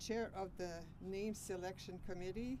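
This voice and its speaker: The delivery is monotone with flat intonation, and noticeable background noise runs underneath. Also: woman. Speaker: miner's widow giving tribute. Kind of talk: memorial speech.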